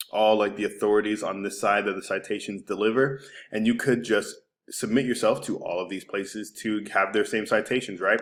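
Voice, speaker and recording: Monotone and flat, a man's fairly low voice moves at a fairly quick pace. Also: very clean recording, silent background. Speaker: digital marketing agency owner. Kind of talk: screencast website review tutorial. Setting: screen recording. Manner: casual, many filler words; fast.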